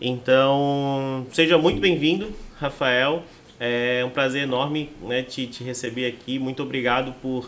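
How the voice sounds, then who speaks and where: A man with a medium-pitched voice speaks at a fairly slow pace. His intonation stays fairly even. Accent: Florianópolis. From Santa Catarina, Brazil (Palhoça). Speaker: podcast host. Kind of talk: podcast interview.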